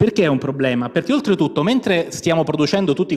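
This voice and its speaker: A man's high voice with very wide pitch swings. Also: quiet background. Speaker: university professor on a panel. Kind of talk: panel talk with slides. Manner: fast; informal, with many fillers. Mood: ironic, conversational. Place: hall. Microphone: handheld.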